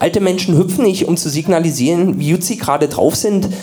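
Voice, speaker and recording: A man with a high pitch talks at a moderate pace, and noticeable background noise is audible. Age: 30s. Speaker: radio comedian. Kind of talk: comedic reading.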